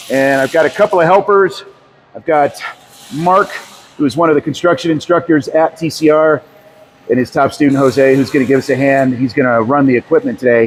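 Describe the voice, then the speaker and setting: A man with a fairly high pitch and ordinary pitch variation speaks fairly quickly against noticeable background noise. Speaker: tiny house builder and video host. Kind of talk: how-to tutorial. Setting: workshop. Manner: loud.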